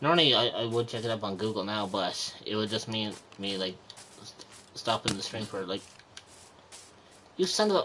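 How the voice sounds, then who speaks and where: A man with an Irish accent speaks at a fairly low pitch, with ordinary pitch variation and long, frequent pauses. Background noise is noticeable. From Republic of Ireland. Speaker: gaming streamer. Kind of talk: live gameplay commentary. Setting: livestream. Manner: halting, frequent repeated words.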